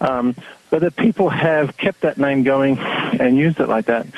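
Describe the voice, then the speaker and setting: Through noticeable background noise, a man speaks at a fairly high pitch with lively intonation. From New Zealand and Australia. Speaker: website founder and activist. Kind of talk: interview.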